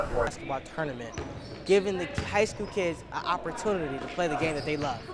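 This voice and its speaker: A man with a high pitch and lively intonation speaks fairly quickly through noticeable background noise. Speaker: sports reporter / anchor. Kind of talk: sports news broadcast demo reel.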